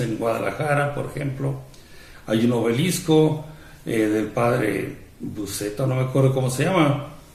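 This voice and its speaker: A man with a Mexican accent talks at a fairly slow pace amid audible room echo and noticeable background noise. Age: 60s. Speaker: priest. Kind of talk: religious talk. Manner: conversational, with fillers.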